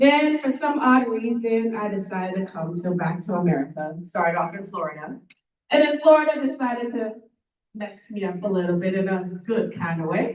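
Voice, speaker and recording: A woman speaks loudly at a medium pitch. Her pace is moderate, with very wide pitch swings. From Trinidad and Tobago. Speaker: motivational speaker. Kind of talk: motivational talk. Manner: animated.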